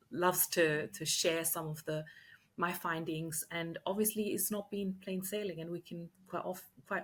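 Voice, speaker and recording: In an Austrian accent, a woman speaks at a moderate pace in a fairly low, somewhat breathy, flat monotone voice, on a very clean recording with a silent background. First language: German. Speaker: leadership coach and entrepreneur. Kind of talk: podcast interview.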